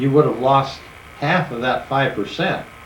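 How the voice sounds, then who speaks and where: With audible room echo and noticeable background noise around him, this man speaks at a moderate pace in a fairly high pitch. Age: 70s. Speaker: retired farmer recalling his life. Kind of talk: personal reminiscence told to family. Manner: halting, many fillers.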